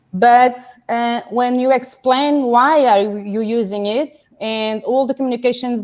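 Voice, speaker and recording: At a very slow pace, a woman speaks with a Portuguese accent. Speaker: business owner, distributor. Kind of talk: interview. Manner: hesitant, many fillers.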